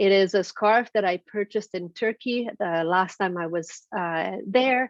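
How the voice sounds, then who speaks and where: Speaking at a fairly slow pace, a woman with a Hungarian accent uses a medium pitch and ordinary pitch variation. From Transylvania, Romania. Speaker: keynote speaker. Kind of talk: speech. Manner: halting, many fillers.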